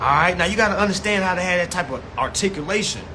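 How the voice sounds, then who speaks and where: A man uses a raised, projected voice at a high pitch, with an animated tone. Noticeable background noise and audible room echo are present. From US South. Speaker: consumer rights educator. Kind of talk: live-stream class. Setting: live stream. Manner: fast.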